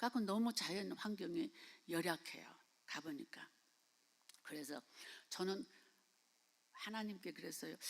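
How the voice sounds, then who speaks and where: A woman's medium-pitched voice at a moderate pace, with very wide pitch swings and long, frequent pauses. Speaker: missionary. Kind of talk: sermon. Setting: church. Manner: halting.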